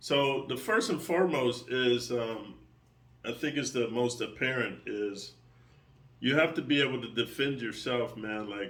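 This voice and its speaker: Fairly slow male speech in a plain, everyday voice, medium in pitch with ordinary pitch variation. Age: 60s. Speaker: martial arts coach and online creator. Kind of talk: casual monologue to subscribers. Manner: casual, with fillers and repetitions.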